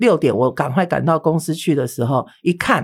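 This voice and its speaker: A woman speaks in a normal speaking voice with lively intonation and a fairly low pitch, on a very clean recording with a silent background. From Taiwan, mainlander family. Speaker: beauty instructor and spirit medium. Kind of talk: interview storytelling.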